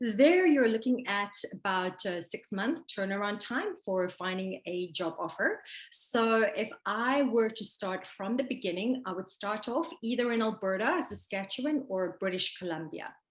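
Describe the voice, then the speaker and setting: A woman with a somewhat breathy voice talks at a moderate pace with lively intonation. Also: medium pitch for a woman. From South Africa, Pretoria. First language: Afrikaans. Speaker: expat interviewee. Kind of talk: casual interview.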